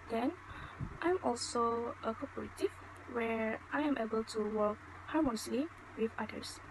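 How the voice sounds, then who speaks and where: Against noticeable background noise, a woman talks at a moderate pace in a fairly high pitch. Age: 20s. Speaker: student. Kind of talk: mock job interview. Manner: formal.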